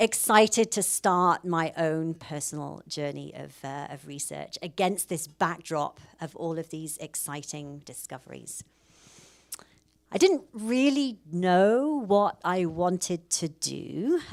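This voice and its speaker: A woman with a British accent, fairly low in pitch, with lively intonation, big swings in loudness, and a very slow pace. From UK. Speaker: professor. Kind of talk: public lecture.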